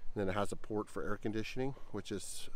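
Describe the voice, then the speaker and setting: The sound is dry, with no echo. A man speaks at a very fast pace with fairly even intonation. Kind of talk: casual walk-around tour. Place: open country. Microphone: phone near.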